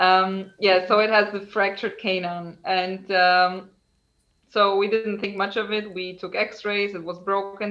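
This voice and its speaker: A woman with a non-native accent, medium pitch, monotone, flat intonation, and a fairly slow pace. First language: not English. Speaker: equine dentist. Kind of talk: podcast interview. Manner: halting.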